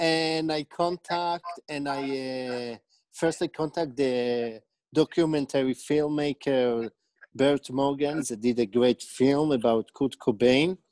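Very slow speech from a man with an Israeli accent, ordinary pitch variation, a dry sound with no echo and a quiet background. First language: Hebrew. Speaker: documentary director. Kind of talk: casual interview. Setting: video call. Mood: friendly, smiling. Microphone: earbuds.

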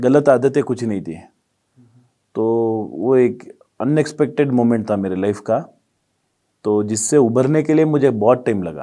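A man speaks at a medium pitch with a dark, mellow tone, going fairly slowly with ordinary pitch variation and long, frequent pauses against a quiet background. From Davanagere, Karnataka, India; Karnataka, India. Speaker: businessman and community leader; interview guest. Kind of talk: interview. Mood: calm, reflective. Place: studio. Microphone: lapel.

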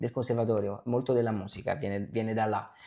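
A man speaks with a fairly low pitch and a dark, mellow tone. The background is quiet. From Naples, Italy; Italy. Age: young. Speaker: actor. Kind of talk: interview. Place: home room. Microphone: lapel.

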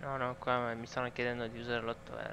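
A man speaks at a medium pitch. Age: 20s. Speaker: gaming streamer. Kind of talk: casual chat.

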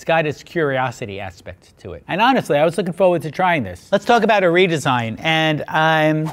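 At a fairly quick pace with hardly any pauses, a man speaks with very wide pitch swings and big swings in loudness. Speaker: design expert reviewer. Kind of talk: product review commentary. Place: studio.

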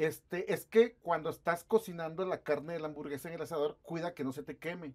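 Against a quiet background, a man talks at a high pitch and a fairly quick pace. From Guadalupe, Nuevo León, Mexico; Nuevo León, Mexico. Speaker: interviewer. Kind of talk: interview. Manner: casual. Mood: relaxed, conversational. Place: studio. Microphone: lapel.

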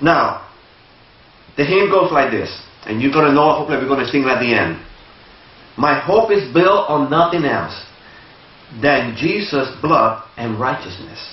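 With lively intonation, a man speaks in a fairly high voice at a moderate pace. Long, frequent pauses break up his speech amid audible room echo. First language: Spanish. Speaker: lay preacher. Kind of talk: sermon. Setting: church. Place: church.

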